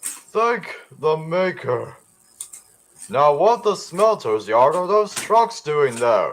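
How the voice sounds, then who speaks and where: Using a put-on character voice, a man talks at a very slow pace in a high pitch. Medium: audio drama. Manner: rude, sneering.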